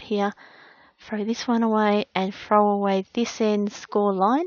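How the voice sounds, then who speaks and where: This woman's fairly high voice moves along at a very slow pace. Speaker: craft tutorial maker. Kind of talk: tutorial.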